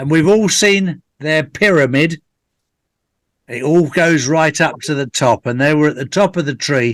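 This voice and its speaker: A man's voice, lively in intonation, at a moderate pace. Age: 60s. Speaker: conspiracy theorist guest on real estate call. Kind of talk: casual chat. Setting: live video call. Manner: halting, many fillers and restarts.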